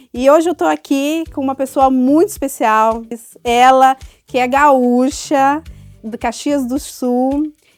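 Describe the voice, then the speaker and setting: Over music in the background, a woman talks at a very slow pace in a high pitch, relaxed in tone with fairly even intonation, the sound dry and close with no echo. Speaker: HR leader and interviewer. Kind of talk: interview conversation.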